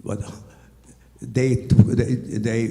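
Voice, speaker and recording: A man speaks with a Hungarian accent. Noticeable background noise runs behind him. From Hungary. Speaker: Holocaust survivor. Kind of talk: testimony. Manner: halting.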